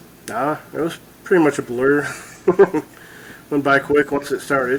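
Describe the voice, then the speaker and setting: This man has a plain, everyday voice with an American accent, a fairly high pitch, fairly even intonation and a moderate pace. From Michigan (Bay City). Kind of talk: casual interview. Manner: brief answers.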